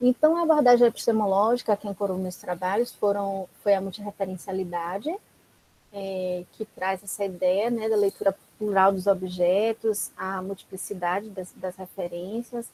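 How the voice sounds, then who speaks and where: At a moderate pace, a woman talks in a dark, mellow tone at a medium pitch with fairly even intonation. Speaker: academic researcher, recent PhD. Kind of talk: academic talk in online seminar.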